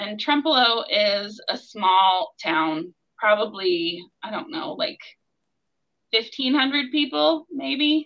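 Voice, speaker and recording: A woman with an American accent, very slow, fairly high-pitched, with very wide pitch swings. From Maryland, US (Silver Spring, near Washington DC). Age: 40s. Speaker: church member and mother. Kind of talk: interview.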